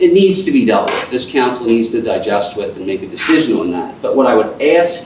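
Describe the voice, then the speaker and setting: With noticeable background noise and audible room echo around him, a man delivers his words at a moderate pace. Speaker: borough council member. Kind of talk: council meeting debate. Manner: halting.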